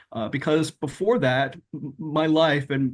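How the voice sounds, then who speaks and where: The man speaks at a fairly high pitch. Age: 60s. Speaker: memoir author. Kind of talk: interview. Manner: hesitant, many fillers.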